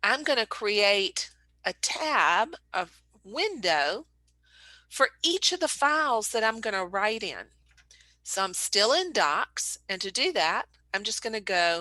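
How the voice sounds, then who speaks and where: Very slow speech with long, frequent pauses, very wide pitch swings and a bright, sharp tone, dry and close with no echo over a quiet background. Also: woman, fairly high pitch for a woman. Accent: American. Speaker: painter and art business owner. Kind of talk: casual tutorial talk to camera.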